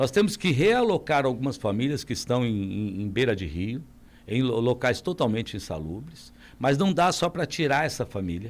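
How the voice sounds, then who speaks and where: A man's voice with vocal fry, very wide pitch swings and a moderate pace. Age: 60s. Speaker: mayoral candidate. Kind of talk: radio interview.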